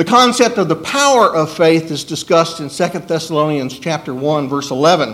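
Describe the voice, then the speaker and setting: Very wide pitch swings at a fairly slow pace, with audible room echo. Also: man. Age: 60s. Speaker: preacher. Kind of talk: sermon.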